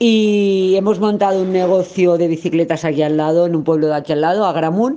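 Fairly quick and with hardly any pauses, a woman talks at a fairly low pitch in a dark, mellow tone, with ordinary pitch variation and very even loudness. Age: 40s. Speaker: local resident, bicycle shop owner. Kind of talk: testimony.

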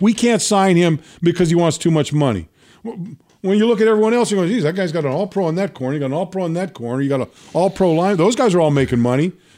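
A man talks at a very fast pace in a dark, mellow tone. The recording is very clean, with a silent background. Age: 60s. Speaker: sports podcast host and former pro football player. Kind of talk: casual sports talk. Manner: halting, many repeated words.

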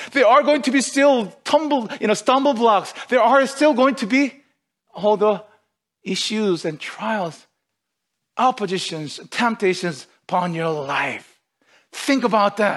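A man with a high pitch speaks at a fairly slow pace with lively intonation. He leaves long, frequent pauses. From outside North America, moved to Canada. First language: not English. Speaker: pastor. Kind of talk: sermon. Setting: online livestreamed service.

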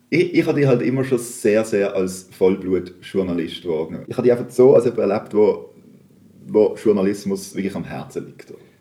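Fairly low in pitch, the man's voice has a dark, mellow tone and ordinary pitch variation. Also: moderate pace. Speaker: podcast host. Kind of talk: casual interview. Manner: halting, many fillers.

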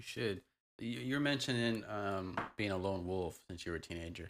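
A man's plain, everyday voice, fairly low in pitch, with ordinary pitch variation, a moderate pace, and a very clean recording over a silent background. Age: 30s. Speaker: podcast host. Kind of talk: casual chat.

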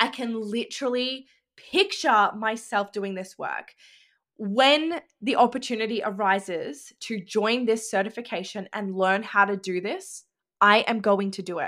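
A woman's fairly high, bright and sharp voice in an Australian accent, at a fairly slow pace, on a very clean recording with a silent background. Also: ordinary pitch variation. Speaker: podcast host and business coach. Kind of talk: casual monologue.

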